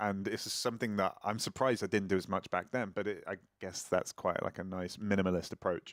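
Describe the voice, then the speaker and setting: A man speaks in a normal speaking voice, fairly low, at a moderate pace with ordinary pitch variation. The sound is dry and close with no echo, on a very clean recording with a silent background. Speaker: singer-songwriter. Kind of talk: casual chat. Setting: live stream.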